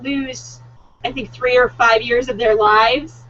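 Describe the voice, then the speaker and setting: A woman at a high pitch and moderate pace, with noticeable background noise. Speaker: book discussion co-host. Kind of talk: casual chat. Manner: enthusiastic.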